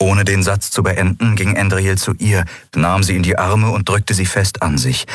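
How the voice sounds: Simply a natural reading voice.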